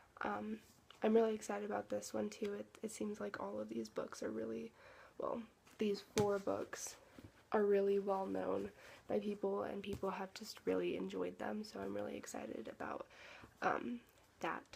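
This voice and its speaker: Soft-spoken, a woman talks at a moderate pace with long, frequent pauses. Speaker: book vlogger. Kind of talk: casual chat. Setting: at home. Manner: halting.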